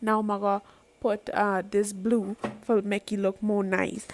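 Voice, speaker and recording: Here is a woman with a Guyanese accent. Her pitch is fairly high. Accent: Guyanese Creole. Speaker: makeup vlogger. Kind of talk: makeup tutorial talk.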